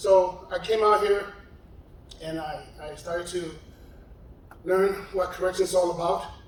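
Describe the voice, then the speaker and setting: Against noticeable background noise and audible room echo, a man with an American accent and a high pitch talks at a moderate pace in a monotone, flat delivery, with big swings in loudness and long, frequent pauses. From New York City, South Bronx. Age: 60s. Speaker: retired correctional officer. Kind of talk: personal testimony. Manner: halting, repeats words.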